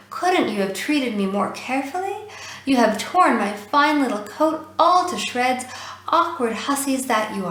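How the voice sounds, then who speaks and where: A woman speaks in a put-on character voice, high-pitched and shrill. Her pace is moderate, and a slight echo hangs on the sound. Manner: indignant, scolding.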